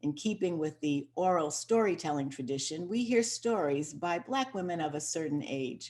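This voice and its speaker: In an unremarkable speaking voice, a woman talks at a fairly low pitch and moderate pace with lively intonation and hardly any pauses. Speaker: podcast host. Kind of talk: show introduction.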